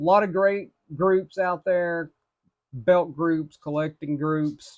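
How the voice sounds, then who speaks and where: A man with an Appalachian accent, fairly slow pace and fairly even intonation. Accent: Appalachian hillbilly. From Appalachia, northeastern Tennessee / southwestern Virginia. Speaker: belt collector reviewer, telecom department manager. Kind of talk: casual product review video. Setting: home room with belts on wall.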